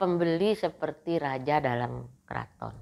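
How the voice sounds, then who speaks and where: This woman has a very deep, low pitch with vocal fry and ordinary pitch variation. The recording is very clean, with a silent background. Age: 70s. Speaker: business owner. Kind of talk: interview testimony.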